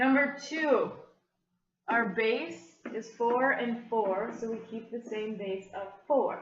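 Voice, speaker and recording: With audible room echo, a woman talks at a very slow pace and a fairly high pitch, showing ordinary pitch variation and big swings in loudness. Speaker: math teacher. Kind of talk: video lesson tutorial.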